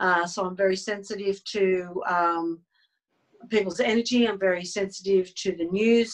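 Moderate pace in an Australian accent. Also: woman. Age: 60s. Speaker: energy healer and hypnotherapist. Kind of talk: interview. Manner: hesitant, many fillers.

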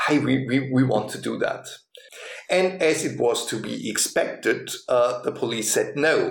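Audible room echo and noticeable background noise surround the speech. The pace is fairly slow. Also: man. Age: 50s. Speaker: pastor. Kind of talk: interview storytelling.

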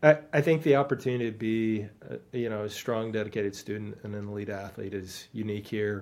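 Talking at a fairly quick pace with hardly any pauses, a man with an Upper Midwest accent has a fairly low pitch, ordinary pitch variation and big swings in loudness. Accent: Upper Midwest American. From Wisconsin (Stevens Point). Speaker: college soccer coach. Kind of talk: interview.

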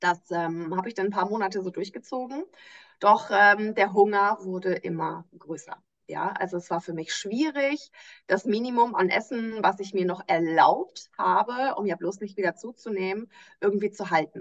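Speaking at a moderate pace in a normal speaking voice, a woman keeps a medium pitch with ordinary pitch variation. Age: 30s. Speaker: nutrition coach. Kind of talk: interview.

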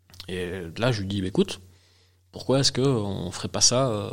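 A man talks in a fairly low pitch, keeping a moderate pace and ordinary pitch variation. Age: 40s. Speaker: beer sommelier and trainer. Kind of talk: interview and casual chat with tasting. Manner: hesitant, repeats words.

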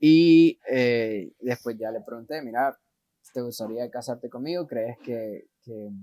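A man with a dark, mellow tone speaks very slowly at medium pitch, with ordinary pitch variation and a dry, close sound with no echo. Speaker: missionary. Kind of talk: interview.

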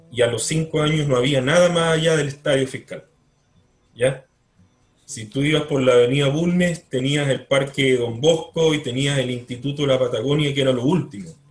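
A man talks at a moderate pace with fairly even intonation. His pitch is fairly high and his voice somewhat breathy. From Chile, Punta Arenas. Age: 50s. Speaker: writer. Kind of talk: interview. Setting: video call.

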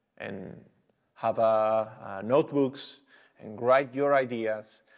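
A man at a very slow pace, with fairly even intonation. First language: Spanish. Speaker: travel and action sports photographer. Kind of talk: interview. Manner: halting.

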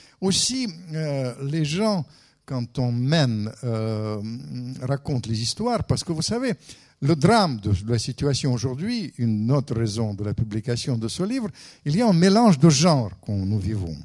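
A man at medium pitch with very wide pitch swings and a fairly slow pace. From Russia. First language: Russian (speaking French). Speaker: writer and former diplomat. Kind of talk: lecture.

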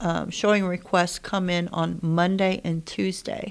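On a very clean recording with a silent background, a woman talks in an ordinary speaking voice at fairly low pitch. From rural Indiana, US. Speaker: real estate agent. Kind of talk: casual chat. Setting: studio.

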